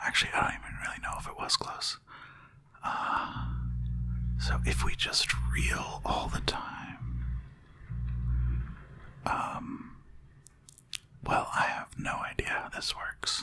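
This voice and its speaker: Whispering at a very slow pace with long, frequent pauses, over noticeable background noise. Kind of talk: relaxed gaming commentary, let's play. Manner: whispered.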